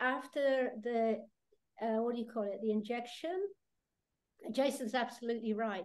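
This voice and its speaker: With a British accent, a woman talks in a high pitch with ordinary pitch variation. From Britain. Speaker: terror attack survivor. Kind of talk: testimony. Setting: video call. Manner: halting.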